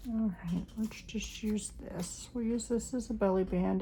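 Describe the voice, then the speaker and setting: A normal speaking voice at a fairly slow pace with fairly even intonation. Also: woman. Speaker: crafting channel host. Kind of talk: crafting tutorial.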